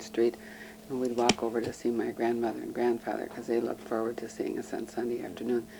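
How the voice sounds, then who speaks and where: A woman with an American accent speaks at a very deep, low pitch. Noticeable background noise runs behind her. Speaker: local resident interviewed for oral history. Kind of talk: oral history interview. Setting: at her home. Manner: hesitant, with many fillers.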